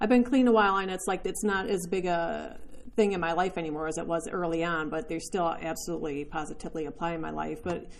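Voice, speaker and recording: A woman talks at a fairly quick pace with ordinary pitch variation. Audible room echo surrounds her voice. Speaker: recovery speaker sharing her story. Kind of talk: testimony. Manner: fast at the beginning.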